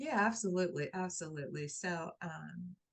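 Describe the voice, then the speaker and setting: The voice belongs to a woman. There is a slight airiness to it. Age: 60s. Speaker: life coach and author. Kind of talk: interview testimony. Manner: repetitive, halting with restarts.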